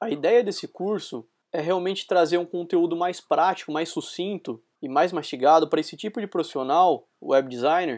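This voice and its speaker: In a very clean recording with a silent background, a man with a rural São Paulo accent speaks at a moderate pace, his pitch high and its variation ordinary. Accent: São Paulo countryside (caipira). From Brazil, interior of São Paulo state. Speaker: UX designer and lecturer. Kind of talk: recorded conference talk. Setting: recorded talk streamed live to an event.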